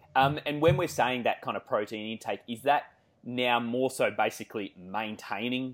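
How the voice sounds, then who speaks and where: A man with an Australian accent at a fairly quick pace, with ordinary pitch variation. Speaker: podcast host, fitness coach. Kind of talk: interview. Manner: many filler words.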